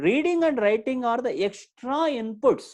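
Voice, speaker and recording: This man speaks with an Indian accent. His pitch swings very widely. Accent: Indian English, Telugu. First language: Telugu. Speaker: spoken English trainer. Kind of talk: online lecture. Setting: live online session. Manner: repetitive, emphatic.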